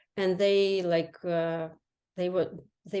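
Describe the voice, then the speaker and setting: A woman with a Ukrainian accent at a fairly slow pace, medium pitch and ordinary pitch variation. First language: Ukrainian or Russian. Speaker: health coach. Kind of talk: interview. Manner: halting, many fillers.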